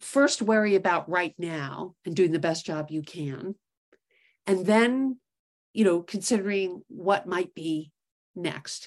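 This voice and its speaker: With lively intonation, a woman with an American accent speaks at a very slow pace. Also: medium pitch for a woman. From New York City. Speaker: investment executive, startup co-founder. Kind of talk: interview.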